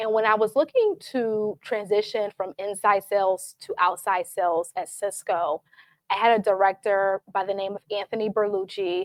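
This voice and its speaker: A woman with a Southern US accent talks at a moderate pace at a medium pitch, her intonation fairly even and the sound dry and close with no echo. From US South, Atlanta. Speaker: tech sales professional, panelist. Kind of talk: panel discussion.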